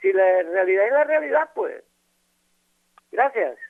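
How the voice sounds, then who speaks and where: The speaker's pitch swings very widely. The pace stays moderate. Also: man. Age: 70s. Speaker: caller. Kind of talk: phone-in comment. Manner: halting.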